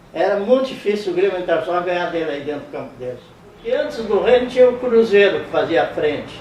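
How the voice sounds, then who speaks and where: Noticeable background noise and audible room echo surround a man talking at a very fast pace. His voice is high-pitched, with lively intonation. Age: 80s+. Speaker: interviewee, old football fan. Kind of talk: interview, reminiscing.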